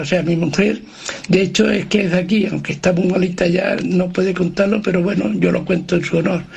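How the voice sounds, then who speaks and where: Delivery is fairly quick, with fairly even intonation and very even loudness. Background noise is noticeable. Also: man. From Andalusia. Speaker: radio listener. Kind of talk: voice message. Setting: recorded voice note.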